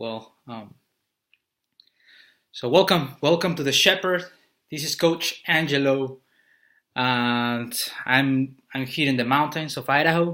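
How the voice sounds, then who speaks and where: Speaking very slowly with long, frequent pauses, a man with a Spanish accent uses a fairly high voice with a bright, sharp tone on a very clean recording against a silent background. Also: ordinary pitch variation. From Mexico City, Mexico. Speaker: business coach. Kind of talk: motivational talk. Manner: halting, with repetitions.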